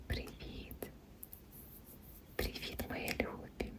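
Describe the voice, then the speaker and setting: Against noticeable background noise, a very slow pace marks this woman's whispering. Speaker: ASMR creator. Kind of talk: ASMR unboxing. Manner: whispered.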